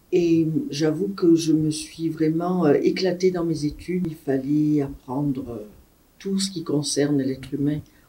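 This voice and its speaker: A woman with a very deep, low pitch and a dark, mellow tone speaks fairly slowly with ordinary pitch variation. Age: 60s. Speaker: retired nurse. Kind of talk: interview testimony.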